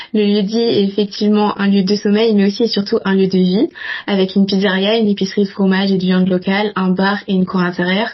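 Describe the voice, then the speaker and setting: A woman speaks at medium pitch and a fairly quick pace, her intonation flat and monotone, her voice somewhat breathy. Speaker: student podcast host. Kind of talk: scripted introduction.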